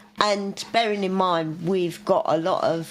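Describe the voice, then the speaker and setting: A woman's voice over noticeable background noise. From London. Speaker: podcast co-host. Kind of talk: casual chat.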